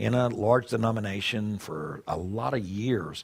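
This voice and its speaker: This is a man with a Southern US accent. His voice sits at medium pitch. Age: 60s. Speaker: pastor. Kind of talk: conference talk. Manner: conversational, with many fillers.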